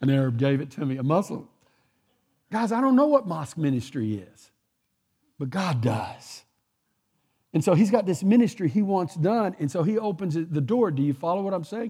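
A man's high voice with a Texan accent, dark and mellow in tone, with very wide pitch swings and long, frequent pauses. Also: moderate pace, very clean recording, silent background. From Texas. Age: 60s. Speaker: guest preacher. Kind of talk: sermon. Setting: church.

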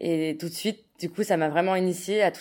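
The recording is very clean and the background silent. A woman talks in fairly even intonation. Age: 20s. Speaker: open data project manager. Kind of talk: interview.

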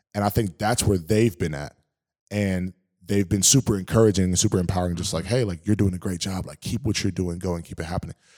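With a dark, mellow tone, a man speaks at a very fast pace and with fairly even intonation. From New Orleans, Louisiana. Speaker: former football player, gatherings director. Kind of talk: casual interview chat. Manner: exuberant, high energy.

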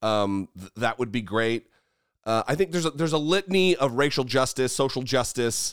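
A man with an American accent at medium pitch and a moderate pace, lively intonation, a very clean recording with a silent background and a dry, close sound with no echo. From US, northern Idaho. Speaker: YouTube host and podcaster, ex-Marine. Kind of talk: casual interview. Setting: in person recording. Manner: halting, repeats words.

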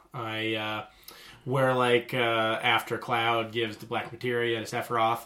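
A man speaks at a fairly slow pace in a medium pitch. His intonation is monotone and flat. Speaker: podcast co-host. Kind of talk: casual chat.

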